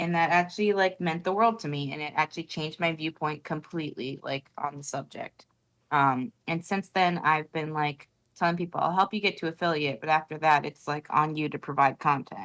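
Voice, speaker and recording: A soft-spoken woman with a very deep, low voice, a fairly quick pace and ordinary pitch variation. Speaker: streamer. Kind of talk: casual chat.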